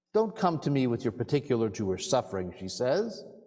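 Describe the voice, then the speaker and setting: This man's voice has vocal fry and very wide pitch swings. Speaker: rabbi giving a sermon. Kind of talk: sermon to a congregation.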